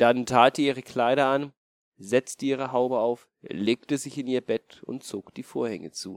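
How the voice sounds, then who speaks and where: A man speaks in an ordinary speaking voice at medium pitch and a fairly slow pace, with ordinary pitch variation, big swings in loudness, and a dry, close sound with no echo. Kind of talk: bedtime story telling. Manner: calm, storyteller's pace, gentle; changes voice for wolf, mother and grandmother.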